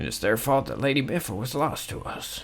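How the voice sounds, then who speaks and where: A man's put-on character voice at medium pitch, delivered at a fairly quick pace. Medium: solo performance. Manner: indignant, old-fashioned.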